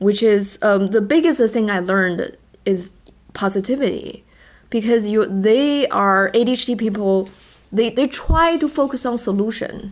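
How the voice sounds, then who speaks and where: A moderate pace and ordinary pitch variation, with a Chinese accent. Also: woman, fairly high pitch for a woman. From China. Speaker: podcast co-host. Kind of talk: casual podcast chat. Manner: halting, repeats words.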